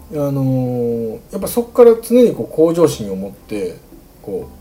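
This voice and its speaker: A man in a Kansai accent, with very wide pitch swings. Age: 40s. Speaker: podcast host. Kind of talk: solo casual monologue.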